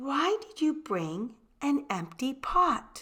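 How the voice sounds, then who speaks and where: A woman uses a high, put-on character voice, speaking very slowly with very wide pitch swings. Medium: read story. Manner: stately, formal.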